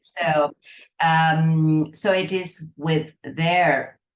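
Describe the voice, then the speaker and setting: A woman does the talking. Her words carry a Spanish accent. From Argentina. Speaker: astrologer. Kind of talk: interview conversation. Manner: halting.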